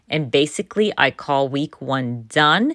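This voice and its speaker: Dry and close with no echo, a woman speaks at a fairly slow pace with lively intonation. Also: very clean recording, silent background. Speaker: scrapbooking YouTuber. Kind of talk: voiceover tutorial.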